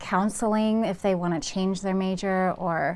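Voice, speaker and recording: Speaking in an ordinary speaking voice, this woman has a medium pitch and ordinary pitch variation. She talks at a fairly slow pace. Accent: American. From California, Santa Cruz area; California. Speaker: real estate agent and video host; interviewer. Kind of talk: interview. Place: office.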